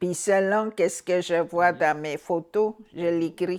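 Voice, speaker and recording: In a very clean recording with a silent background, a woman speaks very slowly at a fairly low pitch with ordinary pitch variation. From Anicinabe (Algonquin) community, Quebec. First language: Algonquin (Anicinabemowin) (speaking French). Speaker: author. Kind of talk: interview testimony. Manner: halting.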